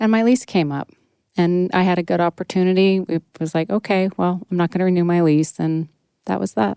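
On a very clean recording with a silent background, a woman with an American accent speaks at a fairly quick pace, her fairly low voice dark and mellow with ordinary pitch variation, dry and close with no echo. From Northern California. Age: 50s. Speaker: beauty brand founder. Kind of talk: interview.

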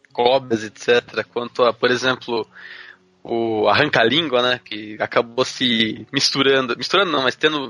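A man at a moderate pace and medium pitch, with a dry, close sound with no echo and music in the background. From Brazil, interior of São Paulo state. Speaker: podcast co-host. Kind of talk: casual chat.

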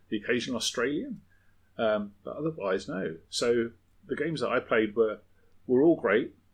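Someone with a southern English accent speaks over a quiet background. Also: man. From southern England. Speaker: podcast co-host. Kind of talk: casual chat. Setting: home shed.

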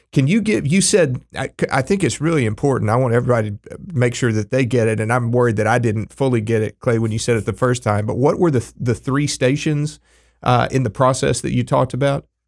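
With an American accent and a plain, everyday voice, a man talks at a fairly quick pace with hardly any pauses, medium pitch and ordinary pitch variation, in a very clean recording with a silent background. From Texas Panhandle. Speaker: podcast co-host. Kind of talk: interview.

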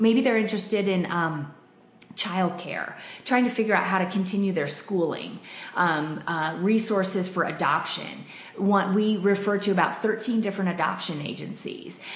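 Someone with an American accent speaks at a moderate pace, with audible room echo and noticeable background noise. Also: woman, medium pitch for a woman, ordinary pitch variation. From Denver, Colorado. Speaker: pregnancy center worker. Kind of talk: interview. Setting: studio.

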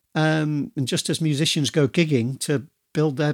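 A man speaks with a Yorkshire accent in a fairly high pitch. The sound is dry and close, with no echo. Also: very clean recording, silent background. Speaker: podcast host and author. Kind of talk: solo podcast monologue. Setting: video recording.

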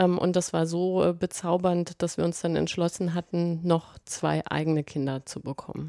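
Dry and close with no echo in a very clean, silent recording, a woman's voice has a dark, mellow tone, a fairly low pitch, flat monotone intonation and a moderate pace. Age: 40s. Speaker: blogger and author, mother. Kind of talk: casual interview.

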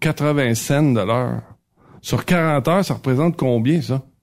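In a Quebec accent, a man speaks at a very slow pace, his pitch fairly high for a man with ordinary variation. The recording is very clean, with a silent background. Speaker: radio columnist. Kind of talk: casual chat.

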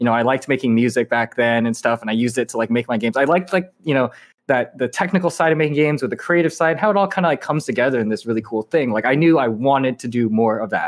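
In a very clean recording with a silent background, a man at medium pitch talks very fast with lively intonation and hardly any pauses. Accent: Californian. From Southern California (Irvine). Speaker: indie game developer. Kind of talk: interview.

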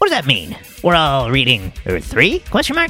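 A man performs a put-on character voice while music plays clearly in the background. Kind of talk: excited, fannish. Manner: nerdy, geeky.

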